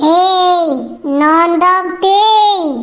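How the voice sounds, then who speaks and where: An extremely high-pitched, put-on character voice comes through over light background noise. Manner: spooky.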